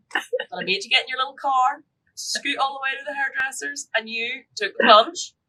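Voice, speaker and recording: In a Northern Irish accent, a woman projects a raised voice with a bright, sharp tone, a high pitch, ordinary pitch variation, and a moderate pace. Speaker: podcast co-host. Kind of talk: casual chat. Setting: live stream.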